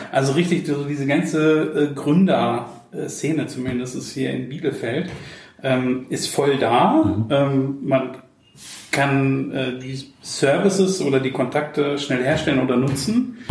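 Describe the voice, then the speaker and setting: Noticeable background noise and audible room echo surround a man speaking at a fairly high pitch and a very slow pace with ordinary pitch variation. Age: 30s. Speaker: podcast host and social media agency owner. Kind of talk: casual interview. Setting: coworking space.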